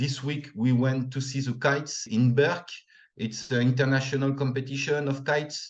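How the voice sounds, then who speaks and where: A man speaks in a French accent at a moderate pace, his medium-pitched voice somewhat breathy and his intonation flat and monotone. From northern France. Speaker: returned expat, former English teacher. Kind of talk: interview.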